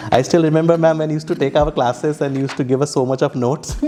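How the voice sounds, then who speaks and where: A man talks with ordinary pitch variation amid noticeable background noise. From eastern India, small town near Kolkata. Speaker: cruise hospitality professional. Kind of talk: interview. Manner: halting, many false starts.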